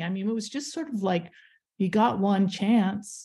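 A woman speaks with an American accent at medium pitch, somewhat breathy, with ordinary pitch variation. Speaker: artist and letterpress printer. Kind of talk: radio interview. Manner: halting.

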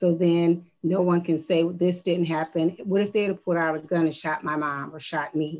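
A woman talks at a fairly low pitch with monotone, flat intonation. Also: moderate pace. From US Midwest, Ohio. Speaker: city councilwoman. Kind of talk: council meeting remarks. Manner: hesitant, many fillers. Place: home room. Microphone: video call.

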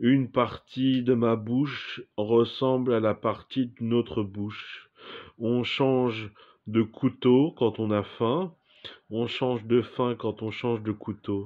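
A man speaks at a very slow pace with fairly even intonation against a quiet background. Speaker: performer reciting poetic text. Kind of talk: surreal spoken-word poetry, read aloud as a dreamlike monologue. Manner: slow, contemplative, deliberate, with pauses between images. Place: home room. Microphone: phone near.

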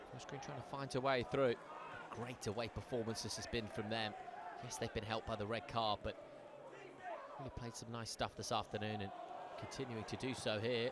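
With an excited tone, a man talks at a fairly quick pace with big swings in loudness over noticeable background noise. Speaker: football commentator. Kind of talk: live play-by-play football commentary over match highlights. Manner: measured, building to excited praise on big moments; analytical, fluent running description of play.

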